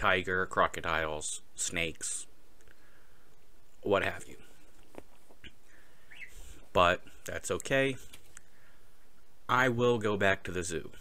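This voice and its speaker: Speaking at a very slow pace with long, frequent pauses, a man with a fairly low pitch and a bright, sharp tone shows ordinary pitch variation and big swings in loudness. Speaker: vlogger. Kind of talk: casual vlog chat. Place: home room. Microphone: studio mic.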